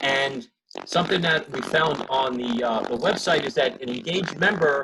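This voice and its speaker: A man with an American accent speaks in a normal speaking voice, fairly high in pitch, at a moderate pace. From New Jersey. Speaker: membership services manager. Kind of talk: presentation on a conference call.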